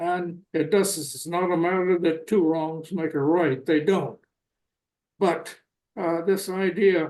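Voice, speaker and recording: Speaking very slowly with an American accent, a man has a high-pitched voice and a dark, mellow tone. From US South, North Carolina. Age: 90s. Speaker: retired diplomat. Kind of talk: interview.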